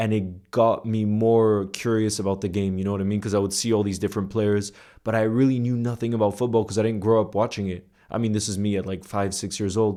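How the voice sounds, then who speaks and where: A man at a very fast pace, fairly low in pitch, with a dark, mellow tone, monotone, flat intonation and a quiet background. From United States, early childhood in Iceland. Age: 20s. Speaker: content creator. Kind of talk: casual storytelling monologue to camera. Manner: informal, with fillers and repetitions.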